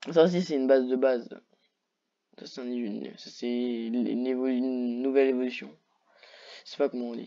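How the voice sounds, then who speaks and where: Fairly quick pace broken by long, frequent pauses. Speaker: YouTuber reacting to Pokémon list. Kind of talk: casual solo commentary. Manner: animated; hesitant, many fillers.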